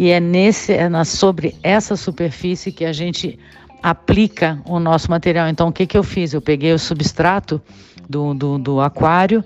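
With music in the background, a woman speaks at a moderate pace in a fairly low voice with fairly even intonation. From Brazil, São Paulo. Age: 60s. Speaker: biologist and teacher. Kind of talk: recorded voice-message explanation. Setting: prerecorded audio message. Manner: clear, didactic.

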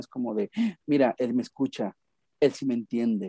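Dry and close with no echo on a very clean recording with a silent background, a man speaks at a fairly quick pace and medium pitch, his tone dark and mellow, with ordinary pitch variation. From Mexico, Guadalajara, Jalisco. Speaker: psychotherapist. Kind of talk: podcast interview.

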